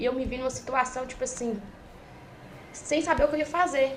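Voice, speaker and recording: Against noticeable background noise, a woman talks very fast with high pitch and fairly even intonation. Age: young (18). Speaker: trader. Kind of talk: casual chat.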